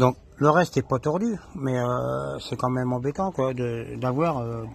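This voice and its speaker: A somewhat breathy man at a medium pitch, with ordinary pitch variation. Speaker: amateur mechanic. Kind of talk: casual tutorial. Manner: halting.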